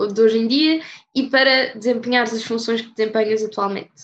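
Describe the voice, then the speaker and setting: A woman speaks with a high pitch and fairly even intonation at a moderate pace. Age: young. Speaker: student podcast host. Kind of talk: interview.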